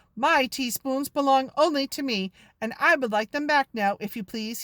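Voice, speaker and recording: Using a put-on character voice, a woman talks loudly at a moderate pace with a high pitch, captured in a very clean recording with a silent background. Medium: read story. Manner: loud, brusque.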